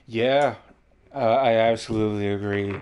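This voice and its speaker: Noticeable background noise sits behind a man talking at a fairly slow pace. His pitch is medium and his intonation fairly even. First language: not English. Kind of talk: casual chat.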